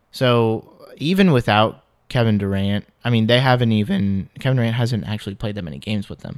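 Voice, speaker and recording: A man's a plain, everyday voice at a medium pitch, with ordinary pitch variation, big swings in loudness and a fairly quick pace. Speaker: basketball podcast co-host. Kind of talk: casual chat.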